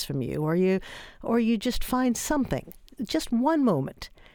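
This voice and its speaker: Speaking at a fairly quick pace in an American accent, a woman makes very wide pitch swings. The recording is very clean with a silent background and a dry, close sound lacking any echo. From New York. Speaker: author. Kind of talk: radio interview. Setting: studio.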